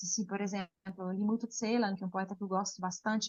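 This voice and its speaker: Somewhat breathy, a woman with an Italian accent speaks at a moderate pace. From Switzerland, Lugano (Italian-speaking). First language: Italian (speaking Portuguese). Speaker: poet. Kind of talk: interview. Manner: halting.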